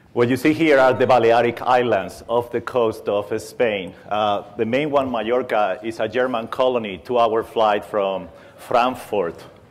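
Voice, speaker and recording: Speaking at a fairly slow pace with hardly any pauses, a man uses a medium pitch. He has a Spanish accent. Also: fairly even intonation. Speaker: aerospace engineer. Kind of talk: conference talk. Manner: humorous.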